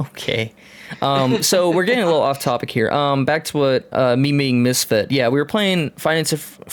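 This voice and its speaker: A man with a fairly high pitch talks at a moderate speed, his pitch varying in an ordinary way, as noticeable noise runs in the background. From Tennessee. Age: 30s. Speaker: podcast host. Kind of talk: casual chat.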